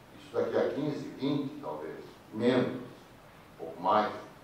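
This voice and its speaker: Very slow speech from a man, set against noticeable background noise and audible room echo. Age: 60s. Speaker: audience member. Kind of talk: public comment at a debate. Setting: cinema auditorium with audience.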